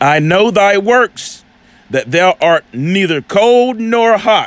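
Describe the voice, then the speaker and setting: Amid noticeable background noise, a man's animated tone moves through very wide pitch swings. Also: dry, close sound with no echo. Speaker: religious commentator on video channel. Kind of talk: casual commentary with scripture teaching.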